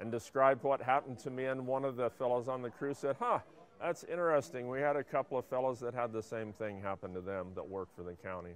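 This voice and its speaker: A man talks at a very fast pace. His pitch sits at a medium level. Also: ordinary pitch variation. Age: 60s. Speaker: retired biologist, pesticide exposure witness. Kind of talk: personal testimony. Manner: halting, with frequent fillers.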